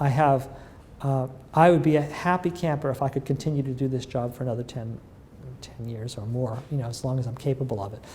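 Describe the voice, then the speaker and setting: With a dark, mellow tone and medium pitch, a man speaks somewhat breathily at a very fast pace, using ordinary pitch variation. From US Northeast (northern Massachusetts, near Lawrence). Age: 60s. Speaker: physician-scientist and pharma research executive. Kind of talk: interview. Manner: hesitant, many fillers.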